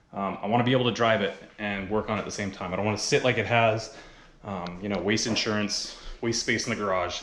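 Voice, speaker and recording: Over noticeable background noise and audible room echo, a man with a fairly low pitch rattles along at a very fast pace in a monotone, flat intonation. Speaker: car hobbyist vlogger. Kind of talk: casual vlog narration. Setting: home garage.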